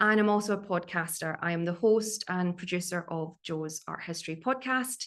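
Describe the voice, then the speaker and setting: With a Glaswegian accent, a woman talks at a moderate pace and medium pitch, her pitch varying in an ordinary way over a quiet background. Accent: Glaswegian Scottish. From Scotland, Glasgow area. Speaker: art historian and curator. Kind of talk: online talk.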